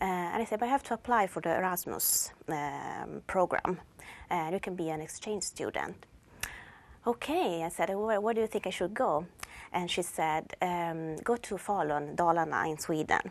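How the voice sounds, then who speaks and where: With an Italian accent, a woman speaks in a fairly low voice with ordinary pitch variation against a quiet background. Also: moderate pace. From northern Italy, Turin. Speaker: language teacher. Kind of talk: personal introduction. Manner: halting.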